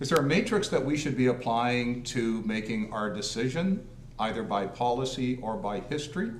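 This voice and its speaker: A man talks at a moderate pace in a medium pitch with ordinary pitch variation. Audible room echo surrounds his voice. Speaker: deputy mayor. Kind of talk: council meeting discussion. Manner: loud.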